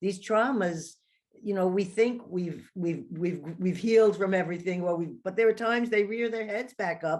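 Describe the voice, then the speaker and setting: Moderate pace and ordinary pitch variation from a woman, a normal speaking voice at a medium pitch. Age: 60s. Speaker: podcast host. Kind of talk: interview, casual chat. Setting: podcast interview.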